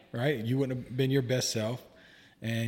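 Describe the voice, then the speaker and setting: Somewhat breathy and monotone, with flat intonation, the voice moves at a fairly quick pace in an American accent. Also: man. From US South. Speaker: guest, therapist-in-training and podcaster. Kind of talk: casual interview conversation.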